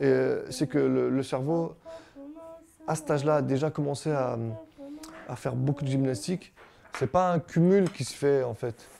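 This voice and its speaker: A man with a fairly high pitch talks while music plays in the background. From Brittany, France (Quimper). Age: 30s. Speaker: father of a bilingual family. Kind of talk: interview testimony. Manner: hesitant, with repetitions.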